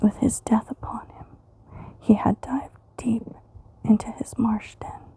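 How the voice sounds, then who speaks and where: A woman whispers at a fairly slow pace, her loudness swinging widely over noticeable background noise. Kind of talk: asmr poetry reading for sleep. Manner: whispered, soft-spoken.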